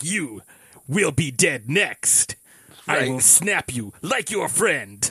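In a put-on character voice, the speaker goes at a very slow pace, with a dry, close sound and no echo. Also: man, fairly high pitch for a man. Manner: menacing, cheesy, over the top.

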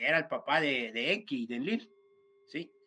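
Lively intonation in a Mexican accent at a moderate pace. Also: man. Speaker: esoteric speaker. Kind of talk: casual chat.

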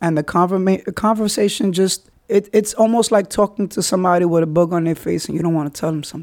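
Speaking very fast with a New York accent, a man uses a high voice and fairly even intonation, recorded dry and close with no echo. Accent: New York (Bronx). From New York City, the Bronx. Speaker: podcast host. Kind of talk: personal monologue.

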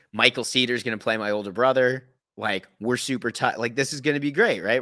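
The recording is very clean, with a silent background. A man speaks very fast at a medium pitch with fairly even intonation. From Canada, Thornhill near Toronto. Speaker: actor and trivia host. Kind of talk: casual interview chat.

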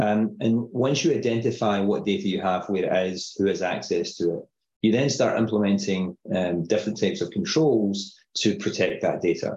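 With a Glaswegian accent, the speaker moves at a moderate pace with hardly any pauses. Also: man. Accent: Scottish, Glaswegian-area. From Scotland, Paisley near Glasgow. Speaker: tech company CEO, security expert. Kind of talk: casual interview.

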